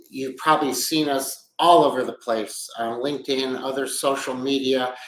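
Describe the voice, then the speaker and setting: A man speaks fairly slowly at a medium pitch, with fairly even intonation and an unremarkable speaking voice. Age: 60s. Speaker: business executive and podcast host. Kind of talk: casual monologue podcast. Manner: conversational with frequent fillers.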